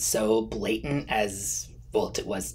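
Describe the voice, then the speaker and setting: A man, with light background noise. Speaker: fragrance reviewer. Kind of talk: casual vlog chat. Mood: earnest, mildly indignant. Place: home room.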